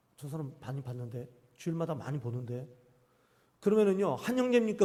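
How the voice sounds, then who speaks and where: Very wide swings in pitch run through a dark, mellow tone. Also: man. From Jeolla region, South Korea (island-born). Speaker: pastor. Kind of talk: sermon. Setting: church. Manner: animated, call-and-response questions.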